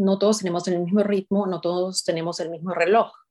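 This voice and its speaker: A woman with a medium-pitched voice talks against a quiet background. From Peru. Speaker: club speaker, mentor. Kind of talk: motivational talk.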